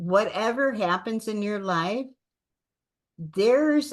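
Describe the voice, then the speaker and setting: This woman's voice sits fairly high. She talks at a very slow pace. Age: 60s. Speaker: actor and entrepreneur. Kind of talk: motivational interview talk.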